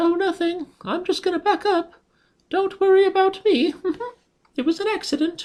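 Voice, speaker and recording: In a put-on character voice pitched extremely high, the speaker leaves long pauses again and again. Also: moderate pace. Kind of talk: sweet, apologetic. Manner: nervous, placating.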